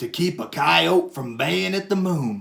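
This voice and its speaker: A man puts on a character voice that is gruff, growling and rumbling, at a fairly high pitch. He speaks at a fairly slow pace. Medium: read story. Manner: gruff, grumbling.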